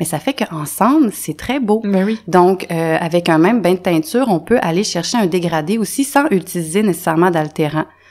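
Against a quiet background, a woman talks with hardly any pauses. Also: moderate pace. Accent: Quebec. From Quebec. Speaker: natural dyer; podcast guest. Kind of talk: casual interview. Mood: relaxed, friendly. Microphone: studio mic.

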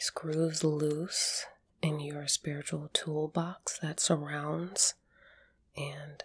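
Soft-spoken and somewhat breathy, a woman speaks at a very slow pace. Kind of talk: soft roleplay talk to viewer. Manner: soft close ASMR voice. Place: home room. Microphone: phone near.

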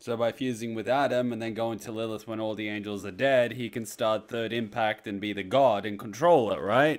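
A man at a moderate pace with fairly even intonation and hardly any pauses, against a quiet background. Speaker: video creator. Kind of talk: casual vlog chat. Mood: amused, mock spooked. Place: home room. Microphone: studio mic.

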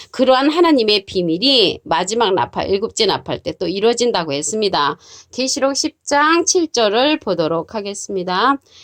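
In a dry, close recording with no echo, a woman with a fairly high voice swings her pitch very widely and hardly pauses. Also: moderate pace. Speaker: Bible teacher. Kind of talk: sermon. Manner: formal.

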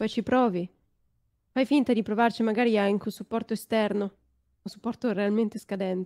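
A woman's dark, mellow tone in a monotone, flat delivery at a fairly quick pace, over a quiet background. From northern Italy, Varese; northern Italy. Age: 20s. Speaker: streamer. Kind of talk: casual chat. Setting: video call. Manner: sounds young. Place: home room. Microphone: studio mic.

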